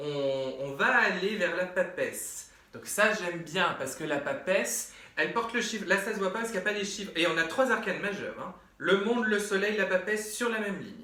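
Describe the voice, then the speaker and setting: A man speaks in a raised, projected voice at a high pitch and a fairly quick pace. His tone is animated with ordinary pitch variation, over noticeable background noise and audible room echo. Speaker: medium and tarot reader. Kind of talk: tarot reading.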